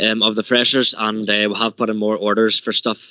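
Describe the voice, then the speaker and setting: This man's voice has a fairly low pitch. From Ireland. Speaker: student union officer. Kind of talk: meeting report. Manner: hesitant, many fillers and repeats.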